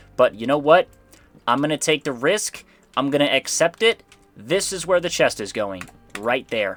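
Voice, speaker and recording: Over background music, a man with a fairly high pitch talks at a moderate pace in an animated tone, his pitch swinging very widely between long, frequent pauses, all in a dry, close sound with no echo. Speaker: gaming youtuber. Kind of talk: gameplay commentary.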